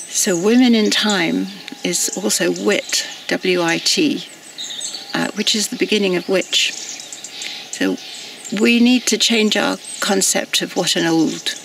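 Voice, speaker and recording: The speech moves at a very slow pace. There is noticeable background noise. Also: woman. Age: 70s. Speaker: activist. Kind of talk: personal reflection monologue. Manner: halting.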